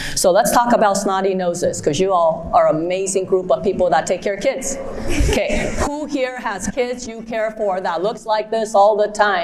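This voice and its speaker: Against noticeable background noise, a woman speaks at a moderate pace. Her pitch is medium, with ordinary variation. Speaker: pediatric ENT surgeon. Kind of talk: conference talk. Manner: lively, conversational.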